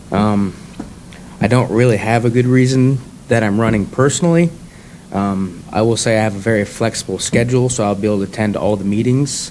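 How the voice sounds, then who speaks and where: Over noticeable background noise, a man at medium pitch speaks at a fairly quick pace with very even loudness and ordinary pitch variation. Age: 20s. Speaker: political candidate. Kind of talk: candidate introduction. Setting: public forum with audience.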